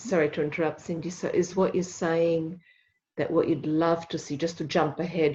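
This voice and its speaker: Against a quiet background, a woman with a non-native accent speaks in a very deep, low pitch, somewhat breathy, at a moderate pace with fairly even intonation. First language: not English. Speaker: workshop participant. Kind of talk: group discussion.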